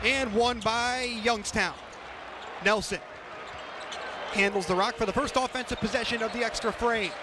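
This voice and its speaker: A man with a high pitch uses a raised, projected voice at very even loudness, keeping a moderate pace. He leaves long, frequent pauses over noticeable background noise. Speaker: sports radio play-by-play announcer. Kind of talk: basketball play-by-play radio call. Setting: college radio broadcast.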